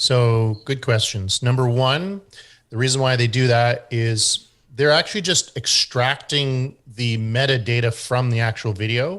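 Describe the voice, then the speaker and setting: With a strong Canadian accent, a man speaks at a fairly slow pace with medium pitch and ordinary pitch variation against a quiet background. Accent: thick Canadian. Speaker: SEO expert. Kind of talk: group discussion Q&A. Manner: hesitant with many fillers.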